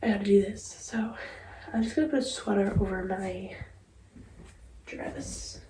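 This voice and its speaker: A woman's voice with noticeable background noise and audible room echo. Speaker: lifestyle vlogger. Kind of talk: casual vlog talk. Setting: outdoors.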